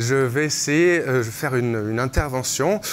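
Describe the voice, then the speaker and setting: The man talks at a moderate pace and a medium pitch. His pitch varies in an ordinary way. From France. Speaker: digital artist. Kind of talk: live demonstration. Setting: stage with audience. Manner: hesitant, many fillers.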